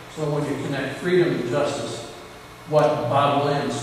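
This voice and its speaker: A man with an American accent speaks at a moderate pace with fairly even intonation. The recording has noticeable background noise and strong room echo. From Western New York (Clymer area). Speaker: professor. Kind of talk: lecture. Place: hall.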